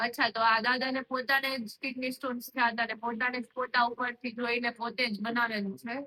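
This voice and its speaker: A woman's high-pitched voice with monotone, flat intonation. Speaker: medical student. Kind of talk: interviewer asking questions.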